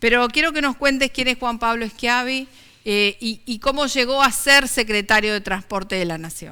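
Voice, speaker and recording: A woman in a Rioplatense accent, high-pitched, with ordinary pitch variation at a moderate pace. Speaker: TV talk show host. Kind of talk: interview.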